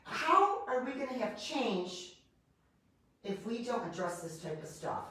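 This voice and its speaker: The speaker uses an animated tone at a fairly slow pace, with audible room echo around the voice. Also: woman. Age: 60s. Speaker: chiropractor. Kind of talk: interview. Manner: halting.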